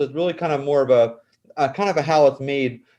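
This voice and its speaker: Speaking at a very fast pace, a man has a dark, mellow tone. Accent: American. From South Jersey, US. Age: 40s. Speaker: cosmetic chemist and author. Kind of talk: interview. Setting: podcast. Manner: halting, repetitive restarts.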